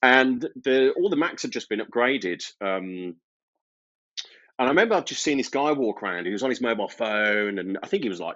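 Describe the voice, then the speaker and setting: This man talks at a fairly quick pace in a Birmingham accent. His medium-pitched voice has lively intonation. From Birmingham, English Midlands. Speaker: IT service management consultant. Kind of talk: podcast interview. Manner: casual, hesitant with fillers.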